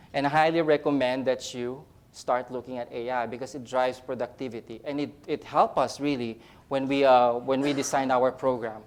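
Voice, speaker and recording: A man in a Filipino accent, medium-pitched, with fairly even intonation at a moderate pace. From Philippines. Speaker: nurse educator. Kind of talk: conference talk. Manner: halting, many fillers and repeats.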